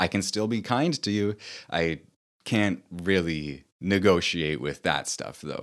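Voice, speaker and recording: On a very clean recording with a silent background, a man with a very deep, low pitch talks at a very slow pace with lively intonation. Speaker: author and podcast host. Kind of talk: solo talk on personal experience. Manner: reflective, hesitant with fillers.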